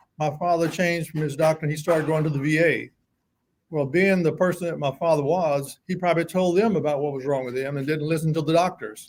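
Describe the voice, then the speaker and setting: A man speaks at a very fast pace in a fairly high voice. His intonation stays fairly even. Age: 70s. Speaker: prostate cancer survivor. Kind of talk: testimony.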